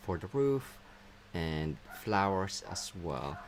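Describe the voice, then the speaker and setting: A man with a fairly low voice speaks with lively intonation. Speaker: craft tutorial host. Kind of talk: tutorial. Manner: tends to mumble when looking down.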